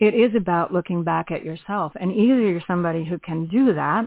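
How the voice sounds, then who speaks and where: This woman talks at a moderate pace with a fairly low pitch in an ordinary speaking voice. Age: 60s. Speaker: radio host. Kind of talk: interview.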